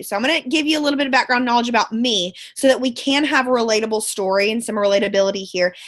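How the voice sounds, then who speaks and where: With a Texan accent and a high pitch, a woman talks at a very fast pace with hardly any pauses. Her tone is animated and her pitch variation ordinary. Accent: Texan Southern US. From Central Texas, Bryan/College Station. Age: 20s. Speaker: network marketing distributor, former teacher. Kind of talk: motivational team call talk. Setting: conference call from bed.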